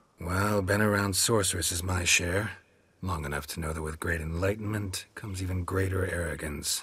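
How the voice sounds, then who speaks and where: A man does a put-on character voice at a very deep, low pitch and a moderate pace. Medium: video game. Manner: terse, dry.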